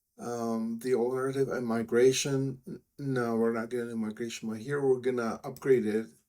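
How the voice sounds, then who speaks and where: Speaking at a moderate pace in a Czech accent, a man uses a flat, monotone delivery at medium pitch with a dark, mellow tone. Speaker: software developer. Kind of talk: screen-recorded software tutorial. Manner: casual, hesitant.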